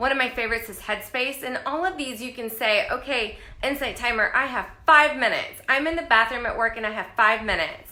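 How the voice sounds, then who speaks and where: A woman talks with ordinary pitch variation amid audible room echo. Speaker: life coach. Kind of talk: live stream talk. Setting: live video stream.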